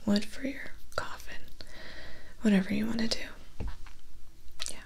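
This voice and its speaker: A soft-spoken woman talks at a fairly slow pace. Light background noise can be heard. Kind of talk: ASMR roleplay monologue. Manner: soft, close ASMR roleplay voice. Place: home room.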